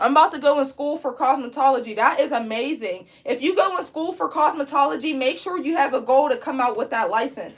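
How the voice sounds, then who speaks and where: Loud and animated, a woman speaks at a fairly quick pace and high pitch with lively intonation and hardly any pauses. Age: 20s. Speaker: braiding instructor and licensed cosmetologist. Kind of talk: live online tutorial.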